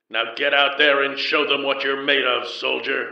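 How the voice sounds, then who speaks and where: A man puts on a gruff character voice, fairly high in pitch and monotone and flat in intonation, at a moderate pace with a slight echo. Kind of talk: old Earth drill sergeant. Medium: read story. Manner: authoritative, exaggerated drill-sergeant delivery.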